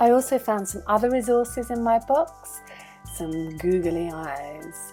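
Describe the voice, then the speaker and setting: Over music in the background, a woman speaks in an upbeat tone with lively intonation. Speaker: puppet maker and craft workshop leader. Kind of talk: children's craft tutorial to camera. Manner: friendly, upbeat.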